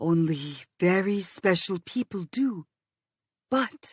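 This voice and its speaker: Soft-spoken and raspy, a woman puts on a character voice at a fairly low pitch. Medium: read story. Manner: gentle, soft-spoken.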